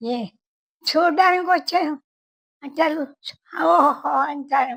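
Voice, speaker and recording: Lively intonation in a woman's high voice. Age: 80s+. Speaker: centenarian interviewee. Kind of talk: casual interview. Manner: halting.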